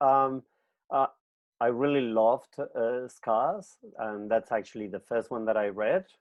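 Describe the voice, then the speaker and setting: At a fairly slow pace, a man with a medium pitch and ordinary pitch variation speaks in a plain, everyday voice. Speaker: librarian, interview host. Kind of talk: interview questions.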